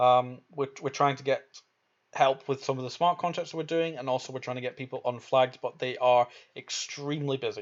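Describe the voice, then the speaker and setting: A man talks at a fairly quick pace with a Scottish accent. His intonation stays fairly even. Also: medium pitch for a man. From Scotland. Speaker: crypto gaming streamer. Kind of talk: live stream Q&A. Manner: halting.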